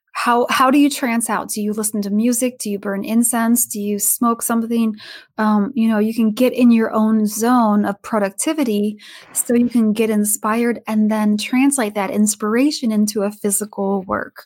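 The recording is very clean, with a silent background. A woman speaks somewhat breathily at a moderate pace, her fairly high pitch held in fairly even intonation. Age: 40s. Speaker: author and fire dancer. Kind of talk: interview.

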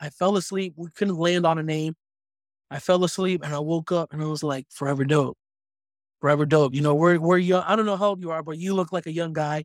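In a very clean recording with a silent background and a dry, close sound with no echo, a man uses a plain, everyday voice, fairly high pitched with fairly even intonation. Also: fairly quick pace. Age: 30s. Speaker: media company co-founder. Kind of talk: casual chat.

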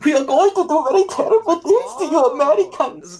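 Over clear background noise, a man puts on a character voice with a German accent, pitched extremely high and delivered at a fairly quick pace. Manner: cartoonish, menacing.

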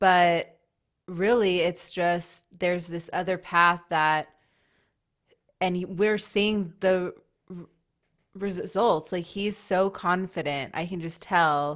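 In a very clean recording with a silent background, a woman speaks at a slow pace with a fairly low pitch and fairly even intonation.

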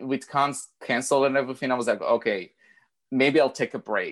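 Quiet surroundings, with a man speaking at a moderate pace. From outside the US. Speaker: cosplayer. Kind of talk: casual chat.

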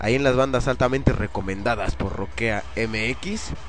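Audible room echo surrounds a man speaking in a relaxed tone. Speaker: internet radio host. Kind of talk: casual radio show chat. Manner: relaxed, slangy.

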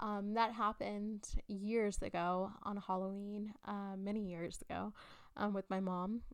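Her delivery is fairly slow and sits at a medium pitch. The woman's intonation stays monotone and flat. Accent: South Texas. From South Texas. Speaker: horror podcast host. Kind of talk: casual monologue. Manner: halting, many fillers.

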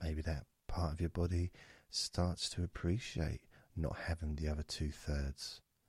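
A man with a very deep, low pitch speaks at a fairly slow pace, somewhat breathy, with fairly even intonation and very even loudness. The recording is very clean and silent behind him, with a dry, close sound and no echo. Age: 50s. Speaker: hypnotist. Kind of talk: guided meditation. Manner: soft-spoken.

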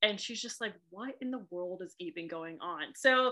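Medium-pitched female voice with a bright, sharp tone and lively intonation, in an American accent. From Boston, US. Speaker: romance author. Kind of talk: casual podcast interview.

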